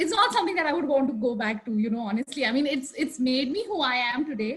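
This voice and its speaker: Lively in intonation, a woman talks at a very fast pace with a high pitch. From India, Delhi. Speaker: architect. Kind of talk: panel discussion. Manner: loud; hesitant, many fillers.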